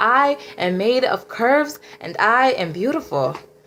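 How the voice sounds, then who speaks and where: A woman speaks with a fairly high pitch and lively intonation. Music plays in the background. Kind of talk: spoken word poetry.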